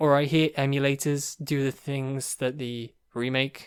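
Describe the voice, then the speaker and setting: Medium-pitched male speech, very cleanly recorded against a silent background. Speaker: gaming podcaster. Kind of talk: casual monologue. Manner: fast.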